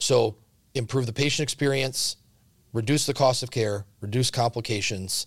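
Over a very clean recording with a silent background, a man with an American accent speaks with ordinary pitch variation and a somewhat breathy voice. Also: medium pitch for a man, moderate pace. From Central Wisconsin. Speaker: healthcare company CEO. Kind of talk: casual interview.

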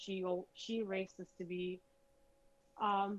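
A woman speaks at a fairly slow pace. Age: 30s. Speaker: guest. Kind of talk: casual chat.

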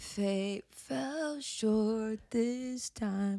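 The speaker mumbles. The intonation is lively. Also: woman. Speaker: podcast co-host. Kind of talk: casual chat. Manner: mumbling.

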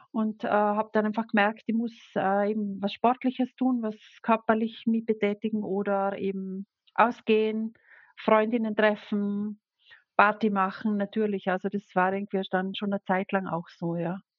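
Keeping a monotone, flat intonation, a woman talks at a moderate pace in a medium pitch. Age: 40s. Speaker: sign language interpreter. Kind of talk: personal testimony interview. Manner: hesitant, many fillers.

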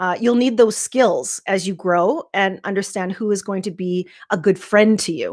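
A woman with an unremarkable speaking voice, in a Canadian accent, at a medium pitch, a moderate pace and with ordinary pitch variation. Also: very clean recording, silent background. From Saskatchewan, Canada. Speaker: life coach. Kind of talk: interview.

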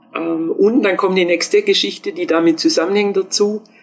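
A woman's fairly even intonation over music in the background. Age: old. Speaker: professor emerita of sports pedagogy. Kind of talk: interview.

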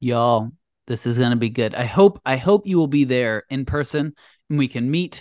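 With an unremarkable speaking voice at a medium pitch, a man talks at a moderate pace with lively intonation, the sound dry and close with no echo against a quiet background. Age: 30s. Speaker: podcast co-host, web developer. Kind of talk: casual chat.

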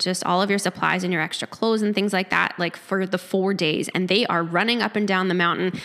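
A woman with a Manitoban accent speaks at a medium pitch in a monotone, flat intonation. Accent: Canadian (Manitoba). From rural Manitoba, Canada (near Lorette). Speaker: gym member sharing recovery story. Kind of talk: interview testimony. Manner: quiet. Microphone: handheld mic held too far away.

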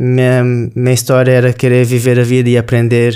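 A man's voice with a dark, mellow tone. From southern Brazil, Rio Grande do Sul. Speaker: sushi chef. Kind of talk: interview conversation.

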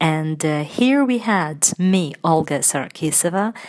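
A woman with a Russian accent speaks at a fairly slow pace in a fairly low voice with lively intonation. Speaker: radio presenter and linguist. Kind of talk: radio interview hosting. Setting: studio.

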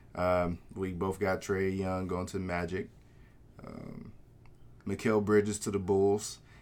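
The delivery is fairly slow with monotone, flat intonation. Long, frequent pauses break it up. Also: man, very deep, low pitch for a man. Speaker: podcast host. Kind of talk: casual banter, sports podcast.

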